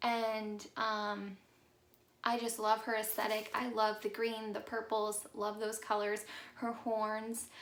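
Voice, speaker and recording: With audible room echo, a woman speaks very slowly at a fairly high pitch in a monotone, flat intonation. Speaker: YouTuber. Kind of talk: casual vlog chat. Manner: many filler ums.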